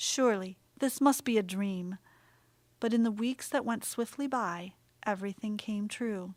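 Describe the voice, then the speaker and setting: In a very clean recording with a silent background, a woman with a plain, everyday voice speaks at fairly high pitch and a moderate pace, with ordinary pitch variation. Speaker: audiobook narrator. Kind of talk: audiobook narration of a children's composer biography.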